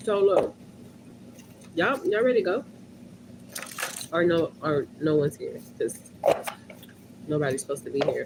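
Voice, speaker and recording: With long, frequent pauses, a woman delivers her words at a moderate tempo while noticeable background noise sits behind her. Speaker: livestreamer. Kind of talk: casual livestream chat. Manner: animated.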